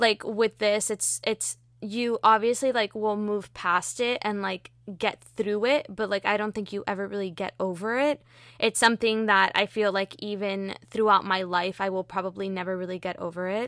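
An unremarkable speaking voice from a woman with an American accent, medium pitch, fairly even intonation and moderate pace, with a dry, close sound with no echo on a very clean recording with a silent background. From Miami, Florida. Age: 20s. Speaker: podcaster. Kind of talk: casual interview about grief.

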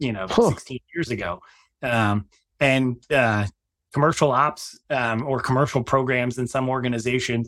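Heard in a very clean recording with a silent background, a man with a plain, everyday voice speaks at a moderate pace, medium pitch and fairly even intonation. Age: 50s. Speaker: marketing executive and company founder. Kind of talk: interview.

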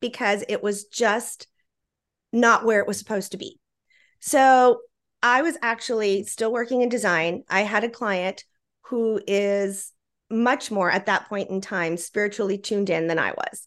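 With an American accent and a plain, everyday voice, a woman speaks at a fairly slow pace and fairly high pitch, with ordinary pitch variation, against a quiet background. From Texas, Laredo. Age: 50s. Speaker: feng shui expert and author. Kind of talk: interview.

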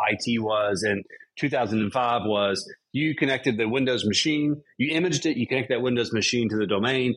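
A man's plain, everyday voice at a medium pitch, moderate in pace, with ordinary pitch variation. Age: 30s. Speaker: podcast host. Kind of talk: casual interview chat.

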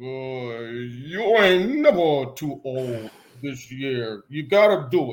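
In a put-on character voice, a man with a medium pitch speaks at a very slow pace.

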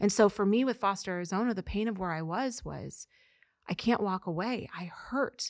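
A woman with an American accent speaks in an unremarkable speaking voice at a medium pitch, moderate pace and ordinary pitch variation. The recording is very clean and dry, close with no echo and a silent background. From Missouri, US Midwest. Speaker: nonprofit founder. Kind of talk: interview.

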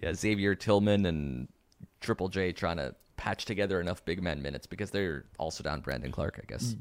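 A man with a very deep, low pitch and vocal fry speaks at a fairly quick pace with lively intonation. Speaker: podcast host. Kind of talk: casual chat about basketball. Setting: video call.

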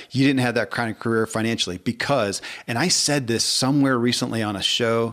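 An unremarkable speaking voice from a man with an American accent, at a medium pitch and a fairly quick pace with fairly even intonation. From US South (Kentucky). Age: 50s. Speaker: podcast host. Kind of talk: casual chat.

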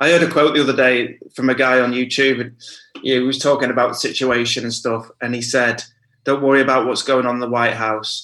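The tone is bright and sharp, with monotone, flat intonation. The pace is fairly quick. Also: man. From northern England. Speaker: house music DJ and producer. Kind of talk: casual chat.

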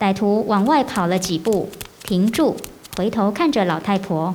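With audible room echo, a woman talks at a moderate pace in a medium-pitched, slightly mellow voice with lively intonation.

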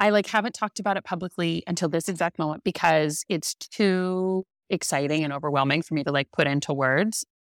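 In a plain, everyday voice with an American accent, the speaker moves at a fairly quick pace with hardly any pauses and ordinary pitch variation. The sound is dry and close with no echo, on a very clean recording with a silent background. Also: woman, fairly low pitch for a woman. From California, Central Coast. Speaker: artist and event stationery designer. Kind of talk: casual interview chat.

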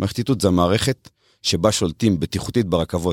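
A man with an ordinary speaking voice, fairly low in pitch with ordinary pitch variation, at a moderate pace, in a very clean recording with a silent background and a dry, close sound with no echo. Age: 30s. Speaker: railway electrification project manager. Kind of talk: interview. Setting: studio.

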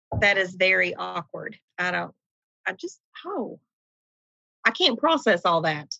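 With an East Tennessee accent, a woman speaks fairly slowly, taking long, frequent pauses. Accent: Southern US, East Tennessee. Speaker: nurse manager.

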